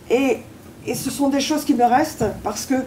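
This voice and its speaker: High pitch from a woman, noticeable background noise behind it. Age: 80s+. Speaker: war witness. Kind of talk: testimony.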